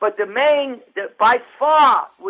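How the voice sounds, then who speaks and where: A man's raised, projected voice at an extremely high pitch. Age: 80s+. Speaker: nutritionist. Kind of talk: interview. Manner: halting.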